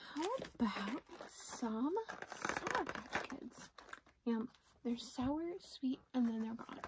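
Noticeable background noise fills the recording. The words come at a very slow pace. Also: woman. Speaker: product showcase vlogger. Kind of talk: casual vlog chat. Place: home room. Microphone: phone near.

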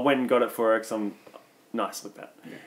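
This is a man with an Australian accent. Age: 20s. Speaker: comedy podcast co-host. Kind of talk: casual chat.

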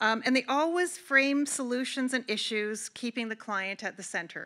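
This woman's voice sits fairly high, with a bright, sharp tone. She talks at a moderate pace with ordinary pitch variation.

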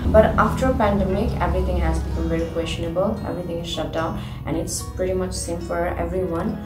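A woman talks at a fairly quick pace. Clear music plays behind her. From Nepal. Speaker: ballet dancer. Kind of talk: interview answer. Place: home room.

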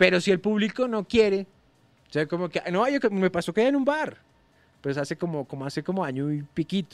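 A man talks at a fairly quick pace with a high pitch and very wide pitch swings. The sound is dry and close, with no echo. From Colombia. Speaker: stand-up comedian. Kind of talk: casual chat.

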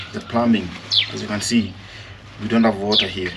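A man speaks over loud background noise. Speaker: vlogger. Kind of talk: casual vlog chat. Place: garden. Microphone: camera far.

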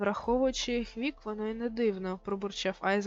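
Reading aloud, done plainly

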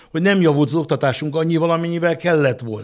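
A man talks with ordinary pitch variation, the background around him quiet. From Hungary. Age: 60s. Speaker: business executive; guest. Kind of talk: interview. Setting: studio. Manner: halting. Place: studio. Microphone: studio mic.

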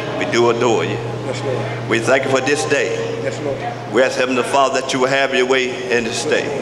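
Noticeable background noise runs while a man keeps a moderate pace. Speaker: minister. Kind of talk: prayer. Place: hall. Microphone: podium.

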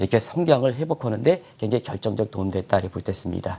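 Lively intonation moves through a dark, mellow tone. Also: man. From South Korea. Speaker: newspaper editorial writer, economics commentator; economics commentator. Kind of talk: TV economics explainer interview. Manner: hesitant, many fillers. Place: studio. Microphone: lapel.

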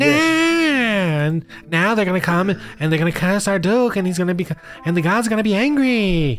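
Over music in the background, a put-on character voice speaks at a middle pitch. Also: moderate pace.

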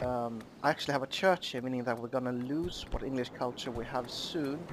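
Here a man uses a normal speaking voice at medium pitch. His pace is moderate and his pitch varies in an ordinary way. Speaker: gaming YouTuber. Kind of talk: gameplay commentary. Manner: casual, rambling with fillers.

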